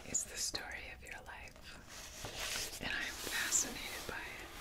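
A woman whispers, soft-spoken, at a very slow pace. Loud background noise sits behind her. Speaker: content creator. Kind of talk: soft, intimate address to the viewer. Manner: soft intimate ASMR whisper. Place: home room.

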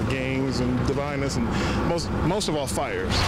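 Loud background noise surrounds a man's speech. No echo is present, leaving the sound dry. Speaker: city streets department equipment operator. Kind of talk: street interview answer. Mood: upbeat, proud. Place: street.

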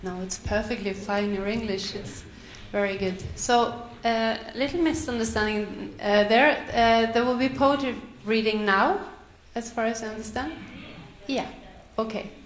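Long, frequent pauses break up a woman's moderately paced speech, heard with light background noise and audible room echo. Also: ordinary pitch variation. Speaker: event moderator. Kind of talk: event moderation. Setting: stage with audience. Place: hall.

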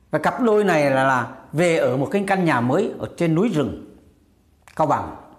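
This man has a fairly high pitch, lively intonation and very even loudness. He keeps a moderate pace over a quiet background. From Vietnam. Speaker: YouTube commentary vlogger. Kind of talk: casual monologue commentary. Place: home room. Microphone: lapel.

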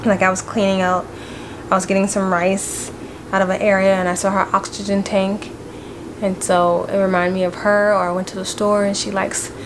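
Amid noticeable background noise, a woman speaks at a fairly quick pace with monotone, flat intonation. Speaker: family vlogger. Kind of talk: casual vlog chat. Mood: grieving, sad. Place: home room. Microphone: phone near.

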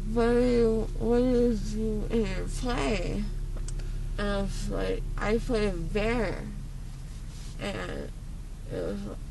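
Amid noticeable background noise, a woman speaks at a very slow pace with long, frequent pauses, the sound dry with no echo. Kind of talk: casual vlog chat. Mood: groggy, loopy after anesthesia. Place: car. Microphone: phone near.

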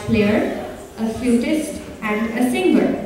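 Strong room echo and light background noise surround a woman's voice. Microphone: camera far.

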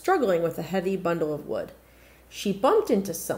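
The clip carries a natural reading voice.

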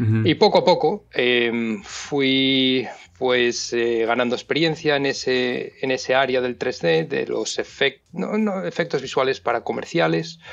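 Speaking with a Castilian accent at medium pitch, a man keeps a fairly slow pace with lively intonation and hardly any pauses. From Spain. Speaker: visual effects supervisor. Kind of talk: casual interview chat. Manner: halting.

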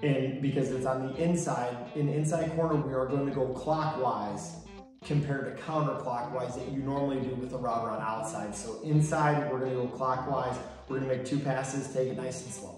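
Music in the background, audible room echo and a man speaking with fairly even intonation. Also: fairly quick pace. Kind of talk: tutorial. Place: garage. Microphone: camera far.

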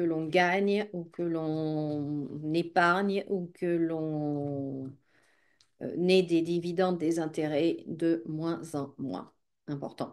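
A woman talks at a very slow pace with fairly even intonation. The background is quiet. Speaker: psychic YouTuber. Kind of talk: casual vlog monologue. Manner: halting, many hesitations and repeated words.

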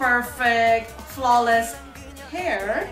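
At a very slow pace, a woman with a non-native accent speaks in a high pitch, with audible room echo and faint music in the background. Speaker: hair tutorial vlogger. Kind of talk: casual talk to camera. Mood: annoyed, in pain. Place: bathroom. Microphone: phone near.

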